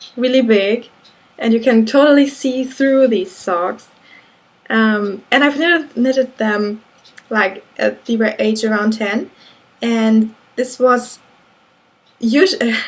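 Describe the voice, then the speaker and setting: A woman's fairly high voice in a German accent, very slow and marked by long, frequent pauses. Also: ordinary pitch variation. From Germany. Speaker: knitting vlogger. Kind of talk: casual monologue. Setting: indoors at home, window closed. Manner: halting.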